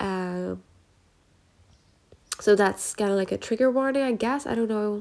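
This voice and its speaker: At a fairly slow pace with long, frequent pauses, a woman speaks at medium pitch with ordinary pitch variation. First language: Dutch. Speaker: journaling YouTuber. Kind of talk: casual vlog book review. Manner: casual, filler-heavy.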